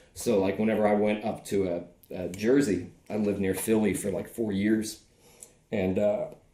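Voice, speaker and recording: A man with an American accent speaks at a fairly low pitch in a dark, mellow tone, with audible room echo. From US South. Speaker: podcast host, musician. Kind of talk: casual chat.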